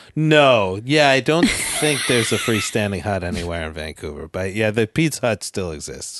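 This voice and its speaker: Over music in the background, a man with a fairly low voice speaks at a moderate pace, his pitch swinging very widely and hardly any pauses. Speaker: comedian. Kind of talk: casual chat.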